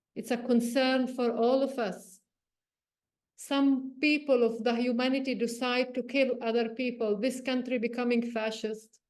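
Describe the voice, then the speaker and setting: A woman with a high pitch and a monotone, flat intonation. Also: fairly slow pace. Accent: Palestinian. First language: Arabic. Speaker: journalist and meditation teacher. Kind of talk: personal reflection talk. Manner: halting, with repetitions.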